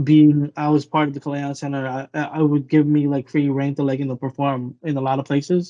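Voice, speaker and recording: A man with a Filipino accent speaks at a fairly quick pace in a dark, mellow tone, his intonation monotone and flat, with hardly any pauses. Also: fairly high pitch for a man, dry, close sound with no echo. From Vancouver, Canada (Filipino background). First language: Tagalog. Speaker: rapper and graphic artist. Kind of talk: casual interview chat.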